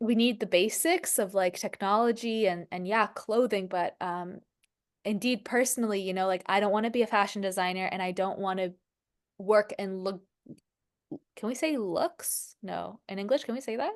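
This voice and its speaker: Her pitch medium and its variation ordinary, a woman keeps to a moderate pace. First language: French. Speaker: spiritual life coach. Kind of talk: casual chat.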